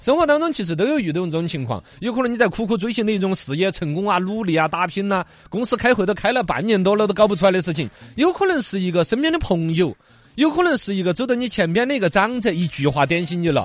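Talking at a very fast pace, a man uses a high pitch, an animated tone, and lively intonation. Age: 40s. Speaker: radio host. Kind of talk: casual radio talk show.

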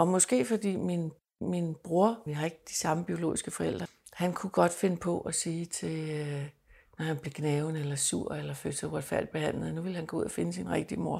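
The recording is very clean with a silent background. A woman with a very deep, low pitch and a dark, mellow tone speaks at a moderate pace with ordinary pitch variation. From Denmark. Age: 60s. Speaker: adoptee sharing her story. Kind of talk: personal testimony interview. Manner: halting, repeats words.

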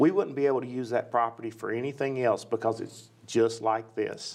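This is a man with a Tennessee accent. His intonation is monotone and flat. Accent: Tennessee Southern US. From US South, West Nashville, Tennessee. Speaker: county parks and recreation director. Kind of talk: interview.

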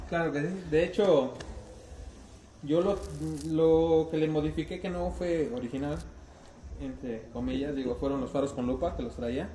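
A man speaks in a central Mexican accent, fairly high in pitch, with ordinary pitch variation. His pace is fairly slow, with long, frequent pauses, over noticeable background noise. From central Mexico. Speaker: car club member. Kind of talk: casual chat.

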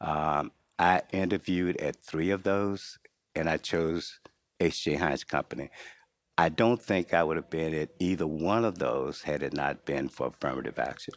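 A man's very deep, low voice with vocal fry and an American accent, ordinary pitch variation and a moderate pace, in a very clean recording with a silent background and a dry, close sound with no echo. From US South, North Carolina (Henderson). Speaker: retired business executive and church elder. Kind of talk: interview. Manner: halting.

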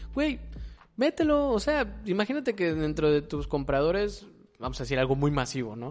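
With a Mexican accent, a man talks at a moderate pace. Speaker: podcast co-host. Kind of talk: casual chat.

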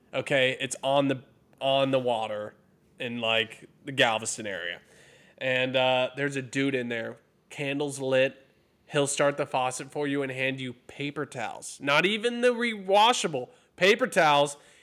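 With an American accent, a man speaks at a medium pitch and moderate pace with ordinary pitch variation, in a normal speaking voice on a very clean recording with a silent background. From Texas. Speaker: podcast co-host. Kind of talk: casual banter.

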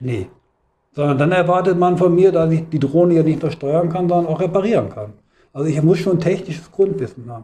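With a dark, mellow tone and a high pitch, a man speaks at a fairly quick pace with ordinary pitch variation. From Hannover, northern Germany. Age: 50s. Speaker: trade union official. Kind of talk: interview. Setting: union office.

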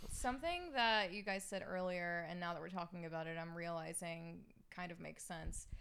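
A woman at a moderate pace and fairly low pitch, with fairly even intonation and audible room echo. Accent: American. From US South, Alabama. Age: 30s. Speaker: podcast guest, anime fan. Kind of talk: casual chat.

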